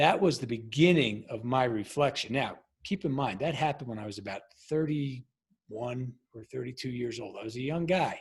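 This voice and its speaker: With an American accent and ordinary pitch variation, a man speaks at a moderate pace in a medium-pitched, somewhat breathy voice that shows big swings in loudness. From Long Island, New York. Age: 50s. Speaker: former Navy SEAL and leadership coach. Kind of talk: podcast interview. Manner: halting.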